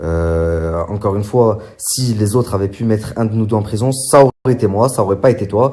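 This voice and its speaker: A man speaks at a fairly quick pace in a fairly low pitch. His tone is dark and mellow, and somewhat breathy. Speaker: social media influencer. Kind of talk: vlog monologue. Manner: hesitant, many fillers; soft-spoken.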